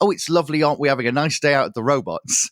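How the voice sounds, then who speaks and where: This very clean recording with a silent background captures a man whose voice has vocal fry, heard dry and close with no echo. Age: 30s. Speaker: podcast host and live show commentator.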